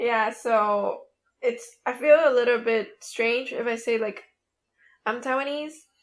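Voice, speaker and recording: On a very clean recording with a silent background, the voice moves at a fairly slow pace with fairly even intonation. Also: woman, high pitch for a woman. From Nicaragua. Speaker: podcast co-host. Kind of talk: casual chat.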